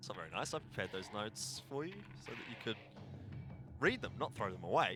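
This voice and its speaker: With music in the background, a man speaks at a very fast pace with very wide pitch swings. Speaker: esports caster. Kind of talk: live commentary. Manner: animated.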